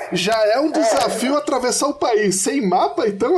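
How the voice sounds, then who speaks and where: With noticeable background noise behind him, a man speaks with very wide pitch swings. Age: 40s. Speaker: podcast listener and supporter. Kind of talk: casual chat.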